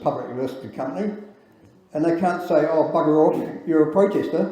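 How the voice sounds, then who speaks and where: With a New Zealand accent, a man speaks at a fairly high pitch with ordinary pitch variation, and room echo is audible. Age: 60s. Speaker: engineer and campaigner. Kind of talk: speech at public event. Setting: event with audience. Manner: halting.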